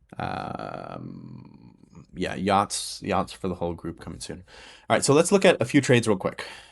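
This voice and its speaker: A man speaks with big swings in loudness. The recording is very clean, with a silent background. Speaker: day trader and trading educator. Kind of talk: live-streamed trading tutorial. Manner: fast.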